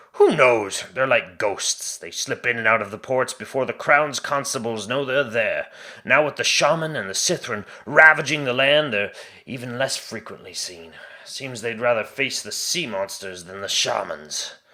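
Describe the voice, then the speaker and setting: In a put-on character voice, the speaker projects loudly at a moderate pace. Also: man, medium pitch for a man. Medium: read story. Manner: blunt, darkly wry.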